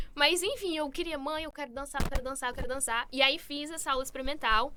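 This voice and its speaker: Over noticeable background noise, a woman projects her high-pitched, raised voice at a fairly quick pace. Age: 20s. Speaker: beauty pageant contestant. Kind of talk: interview.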